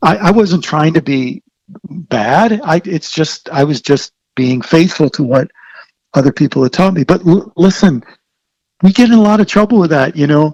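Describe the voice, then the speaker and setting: A man with an American accent talks at a moderate pace in a normal speaking voice, his fairly high pitch moving with lively intonation over a dry, close sound with no echo. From Maryland, US. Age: 60s. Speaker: author and theologian. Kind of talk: podcast interview.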